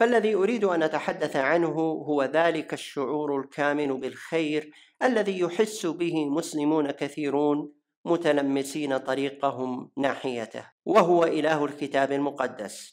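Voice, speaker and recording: Someone with a Najdi accent speaks at a very slow pace in a very clean recording with a silent background. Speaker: voice-over translator. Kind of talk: religious lecture narration.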